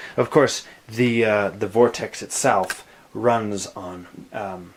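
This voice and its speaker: Over noticeable background noise, a man speaks very slowly at a fairly low pitch. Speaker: keyboard gear demonstrator. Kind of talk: tutorial. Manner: hesitant, many fillers.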